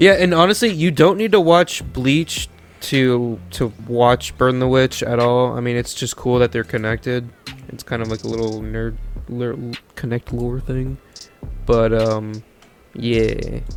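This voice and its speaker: A man's medium-pitched voice, with ordinary pitch variation, is heard with music in the background. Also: fairly slow pace. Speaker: podcast co-host. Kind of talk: casual chat. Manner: stuttering, halting.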